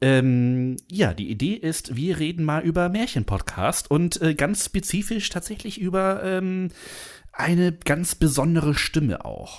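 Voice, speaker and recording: At a fairly slow pace, a high-pitched man speaks with lively intonation in a very clean recording with a silent background. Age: 30s. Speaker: podcast host. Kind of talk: casual chat.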